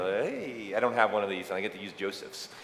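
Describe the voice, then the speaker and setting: Against noticeable background noise and audible room echo, the voice shows ordinary pitch variation. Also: man. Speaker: event host. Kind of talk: live event presentation. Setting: stage with audience. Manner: animated.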